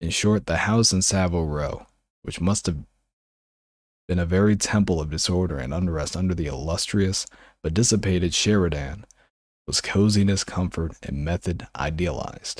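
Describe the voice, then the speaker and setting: In a very clean recording with a silent background, a man with a very deep, low pitch speaks in a soothing, calm tone at a moderate pace with ordinary pitch variation. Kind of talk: audiobook reading.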